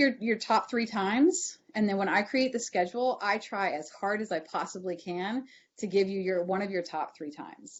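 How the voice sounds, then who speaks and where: Her intonation is lively and her pitch medium for a woman. This woman talks with hardly any pauses. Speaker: university advising administrator. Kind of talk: online information session Q&A. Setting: video call. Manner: fast.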